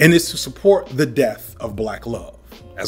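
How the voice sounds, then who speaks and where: A man talks at a moderate pace while music plays faintly behind him. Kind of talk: commentary. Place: home room.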